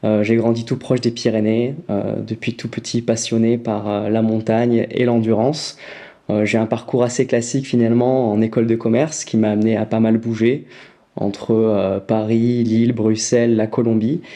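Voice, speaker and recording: A man with a dark, mellow tone speaks at a moderate pace and medium pitch in a monotone, flat intonation. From southern France, near Perpignan. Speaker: nutrition brand founder. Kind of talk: casual interview. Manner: hesitant, many fillers.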